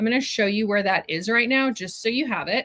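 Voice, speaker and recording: Bright and sharp in tone, a woman's fairly high voice shows ordinary pitch variation. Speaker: fabric club owner, sewing livestream host. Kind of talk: livestream product reveal, casual chat with viewers. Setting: live stream. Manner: chatty, upbeat.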